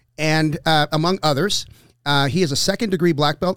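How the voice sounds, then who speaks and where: A man speaks in an ordinary speaking voice, fairly high in pitch, at a fairly quick pace with ordinary pitch variation. The recording is very clean with a silent background and a dry, close sound with no echo. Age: 50s. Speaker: podcast host and jiu-jitsu academy owner. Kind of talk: casual interview chat; show intro and outro.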